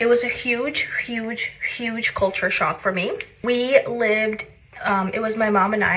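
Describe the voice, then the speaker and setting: A woman's fairly even intonation and fairly slow pace come through over noticeable background noise. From southern Russia, then Long Island, New York from age ten. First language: Russian. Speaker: content creator. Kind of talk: casual personal vlog monologue. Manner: conversational, filler-heavy.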